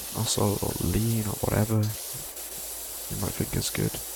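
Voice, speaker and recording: A soft-spoken man is talking. Noticeable background noise can be heard. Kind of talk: low-energy sleep gaming commentary. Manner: low, muffled, soft-spoken.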